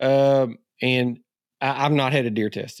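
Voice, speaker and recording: The recording is very clean, with a silent background. The speaker talks at a moderate pace. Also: man. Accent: Ozark. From Arkansas Ozarks, US South. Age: 50s. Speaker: hunter and essayist. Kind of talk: casual chat.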